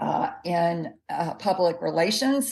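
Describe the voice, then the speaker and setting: With a Southern US accent, a woman speaks at a fairly low pitch with vocal fry. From US South, Jackson, Mississippi. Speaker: health expert and dietitian. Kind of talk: interview.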